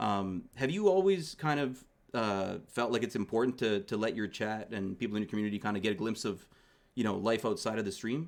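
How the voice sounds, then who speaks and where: This man has a plain, everyday voice with a Canadian accent, medium pitch and ordinary pitch variation. He talks at a fairly quick pace in a very clean recording with a silent background. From Canada. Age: 30s. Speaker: streamer and podcast host. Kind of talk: casual interview.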